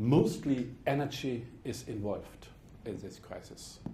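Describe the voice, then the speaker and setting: A man with a German accent talks with lively intonation in a dark, mellow, somewhat breathy tone, with audible room echo. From Germany. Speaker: politician. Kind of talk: speech. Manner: formal.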